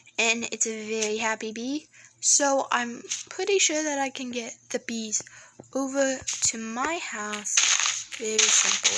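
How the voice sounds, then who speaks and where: A woman's fairly high voice at a very slow pace, ordinary in pitch variation, over noticeable background noise. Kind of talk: casual video game commentary. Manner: trying to sound positive.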